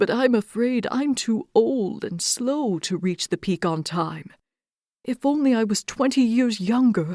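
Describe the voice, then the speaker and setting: A female-sounding voice uses a put-on character voice at a fairly high pitch and fairly slow pace. The recording is very clean, with a silent background. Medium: read story.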